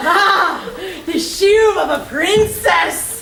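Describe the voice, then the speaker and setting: Amid clear background noise and a slight echo, a woman performs a put-on character voice at an extremely high pitch. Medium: stage play. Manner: teasing.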